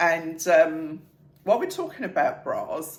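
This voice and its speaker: A woman speaks at a fairly slow pace in a British accent. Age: 60s. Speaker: fashion vlogger. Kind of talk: casual talk to camera. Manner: chatty, light-hearted.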